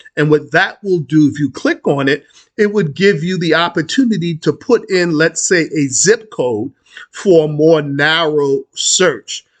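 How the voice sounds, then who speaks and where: The sound is dry and close, with no echo, as a man with a New York accent talks at a fairly slow pace. His pitch is fairly high, with ordinary variation. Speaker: credit union advocate, finance YouTuber. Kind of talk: tutorial. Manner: halting, many fillers.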